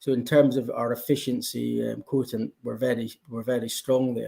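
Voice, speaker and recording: At a moderate pace, a man with a Scottish accent speaks in a medium pitch with fairly even intonation. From Scotland. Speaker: blockchain company representative. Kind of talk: conference panel interview.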